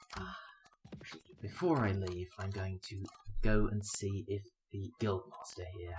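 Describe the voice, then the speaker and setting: Noticeable background noise behind a man's fairly slow, fairly low-pitched speech with an English accent. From England. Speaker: gaming video creator. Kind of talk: let's play commentary. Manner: casual, thinking aloud with pauses.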